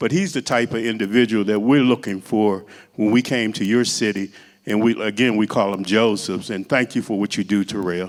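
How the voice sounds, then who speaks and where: In a plain, everyday voice, a man talks at a fairly quick pace with fairly low pitch. The recording is very clean, with a silent background. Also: fairly even intonation. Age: 60s. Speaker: community organizer. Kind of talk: public talk. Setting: church event.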